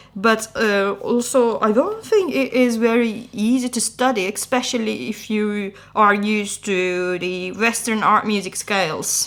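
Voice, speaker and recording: With a Turkish accent, a woman of fairly high pitch speaks at a fairly slow pace, with hardly any pauses and ordinary pitch variation, over noticeable background noise. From Turkey. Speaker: podcast co-host. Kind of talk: casual chat. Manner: halting.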